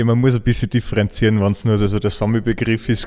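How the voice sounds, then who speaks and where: A man talks at a fairly quick pace. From Austria, Salzburg region. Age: 30s. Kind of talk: interview.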